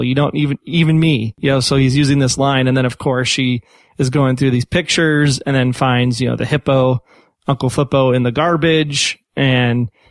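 An unremarkable speaking voice, this man speaks at a medium pitch with an American accent, fairly even intonation and a moderate pace. The sound is dry and close with no echo. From Chicago. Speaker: podcast host. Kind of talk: casual chat.

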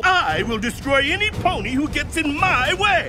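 Over loud background noise, a man does a put-on character voice at an extremely high pitch and a moderate pace. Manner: threatening, punk.

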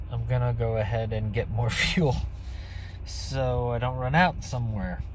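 A man is speaking with light background noise. The sound is dry, with no echo. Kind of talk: casual vlog chat. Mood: mildly disappointed. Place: car. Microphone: phone near.

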